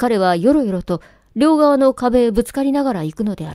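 In a very clean recording with a silent background, a woman with a normal speaking voice speaks at a fairly high pitch with lively intonation. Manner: formal, literary diction, earnest and intimate when addressing the wife in the letter.

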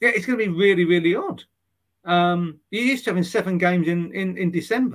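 Very fast speech comes from a man with an English accent. His pitch is high and varies in an ordinary way. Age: 50s. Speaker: sports journalist. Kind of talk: casual interview.

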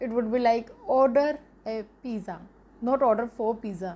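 A woman speaks with an Indian accent and ordinary pitch variation. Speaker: YouTube English teacher. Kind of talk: tutorial; casual vlog sign-off. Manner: animated. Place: home room. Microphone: phone near.

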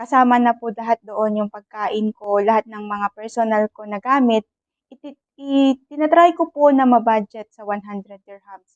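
A woman with a plain, everyday voice speaks at a moderate pace and a fairly high pitch. Her loudness swings widely, and the sound is dry and close with no echo. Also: ordinary pitch variation. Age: 40s. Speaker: overseas Filipino worker vlogger. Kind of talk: casual vlog monologue. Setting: office. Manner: polite, respectful.

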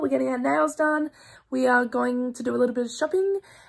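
A woman with an Australian accent speaks at a high pitch on a very clean recording with a silent background. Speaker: vlogger. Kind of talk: casual vlog talk to camera.

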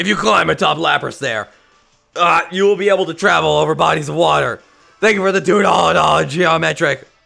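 A man puts on a strained character voice at a fairly high pitch, speaking at a moderate pace. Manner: loud, forced.

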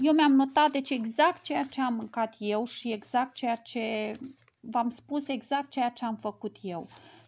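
A woman talks fairly slowly in a high voice, her pitch shifting in an ordinary way. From Romania. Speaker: cancer survivor sharing personal health story. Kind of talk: live stream talk to a group; casual vlog chat. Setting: live video stream. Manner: halting, with many fillers. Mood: earnest, explanatory. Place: home room. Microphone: earbuds.

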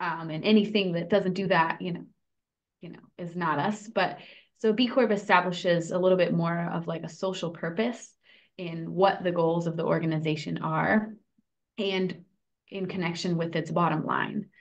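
A woman's fairly low voice with vocal fry, fairly even intonation, a moderate pace and big swings in loudness. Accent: American. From California, San Francisco and Davis; California. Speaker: food cooperative worker-owner and organizer; podcast guest. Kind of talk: interview. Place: home room. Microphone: video call.

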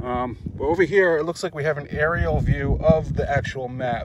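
Noticeable background noise sits behind a man speaking at a fairly slow pace, the sound dry with no echo. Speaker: vlogger. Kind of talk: casual vlog chat. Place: open country. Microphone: phone near.

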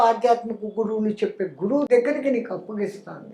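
This man's voice sits at an extremely high pitch. His intonation stays fairly even. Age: 80s+. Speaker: yogi. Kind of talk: interview answer.

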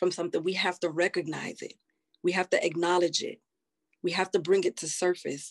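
A woman with an American accent talks at a moderate pace, her pitch medium and her intonation lively. She leaves long, frequent pauses against a quiet background. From United States. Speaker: nurse practitioner and army veteran; panelist. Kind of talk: panel discussion. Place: home room. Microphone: video call.

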